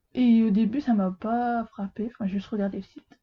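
Somewhat breathy, a woman speaks at a fairly slow pace. Her intonation stays fairly even. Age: 20s. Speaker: apprentice bookseller. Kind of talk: casual chat.

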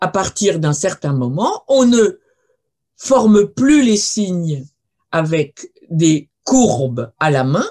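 Her pitch swings very widely. The woman sounds somewhat breathy. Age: 70s. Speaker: archaeologist and linguist. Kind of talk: lecture. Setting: video call.

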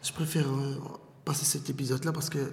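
Moderate pace and flat, monotone intonation from a somewhat breathy, fairly high-pitched man, with audible room echo. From Brussels, Belgium. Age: 30s. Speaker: former detainee. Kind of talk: testimony.

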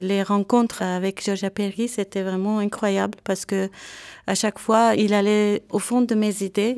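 The recording is very clean, with a silent background and a dry, close sound with no echo. The voice stays in a flat monotone. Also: woman, medium pitch for a woman, fairly slow pace. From Lebanon (Beirut), Armenian family. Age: young. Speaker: composer. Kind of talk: interview testimony.

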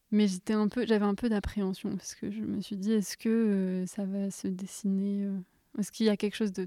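In a dry, close recording with no echo, a woman at medium pitch speaks at a moderate pace with a dark, mellow tone and flat, monotone intonation. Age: 20s. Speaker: doula and nursing assistant. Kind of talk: personal testimony.

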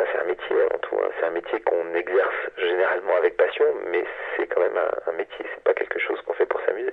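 Noticeable background noise sits behind a man with an extremely high pitch. He talks at a very fast pace with fairly even intonation. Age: 40s. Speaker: science journalist. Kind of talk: interview. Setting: phone call. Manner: hesitant, many filler sounds.

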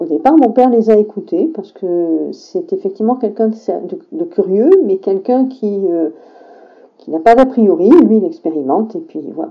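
At a moderate pace, a woman talks with very wide pitch swings and big swings in loudness. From southern France, rural. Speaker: teacher. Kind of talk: testimony.

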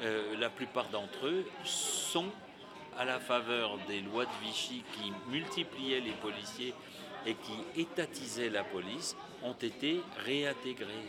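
A man at a very slow pace with lively intonation over noticeable background noise. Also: medium pitch for a man. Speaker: historian. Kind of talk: explanatory interview. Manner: fluent, didactic, emphatic.

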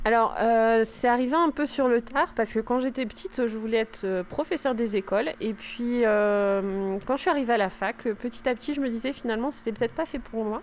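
An ordinary speaking voice moves at a moderate pace with ordinary pitch variation and hardly any pauses. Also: woman, fairly high pitch for a woman. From northern France. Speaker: school librarian. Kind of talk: interview.

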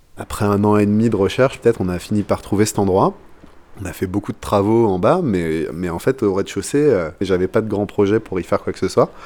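At a fairly quick pace, a man with a plain, everyday voice and fairly low pitch speaks with ordinary pitch variation. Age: 30s. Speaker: drum teacher. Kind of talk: casual interview.

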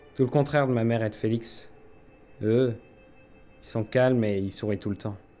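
A man with a medium pitch and fairly even intonation talks at a moderate pace, leaving long, frequent pauses. Music is audible in the background. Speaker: young submarine mechanic character. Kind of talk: scripted audio drama, in-character dialogue. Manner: halting, anxious, hesitant with fillers and repeated apologies.

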